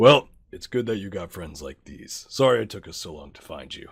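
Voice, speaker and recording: A man does a put-on character voice that is raspy and fairly low in pitch. His intonation is lively and his pace is moderate. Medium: actual play. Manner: casual, businesslike, laid-back.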